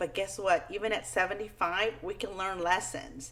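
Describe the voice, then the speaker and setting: A woman of medium pitch with a Spanish accent, with noticeable background noise. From Peru, moved to US at ten. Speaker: children's book author. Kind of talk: talk to schoolchildren. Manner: friendly, simple, upbeat.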